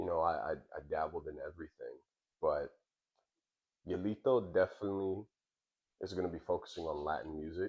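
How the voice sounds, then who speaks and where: Talking at a fairly quick pace, a man speaks. He leaves long, frequent pauses. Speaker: musician. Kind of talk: interview. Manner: repetitive, stumbling starts.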